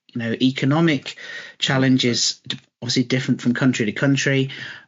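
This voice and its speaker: A man with a British accent, medium-pitched and at a fairly quick pace. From Britain. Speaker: logistics company CEO. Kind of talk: podcast interview. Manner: halting, repeats words.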